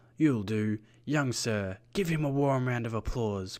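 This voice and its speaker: A man's put-on character voice, medium in pitch with ordinary variation, at a fairly slow pace. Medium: read story. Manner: theatrical, playful showmanship.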